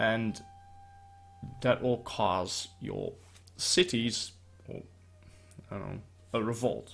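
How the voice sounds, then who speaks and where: Music plays in the background as a man speaks at a very slow pace, with long, frequent pauses and big swings in loudness. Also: medium pitch for a man, ordinary pitch variation. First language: not English. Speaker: gaming YouTuber. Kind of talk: gameplay commentary. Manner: slow at the start; halting.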